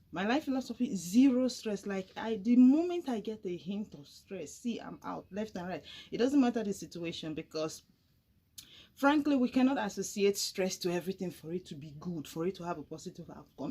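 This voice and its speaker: A woman with a somewhat breathy, dark and mellow voice at a medium pitch. She talks at a fairly quick pace with lively intonation and big swings in loudness. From Nigeria, Delta State, Warri. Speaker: YouTuber. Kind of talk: casual chat. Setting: drinking with a friend at home. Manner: animated.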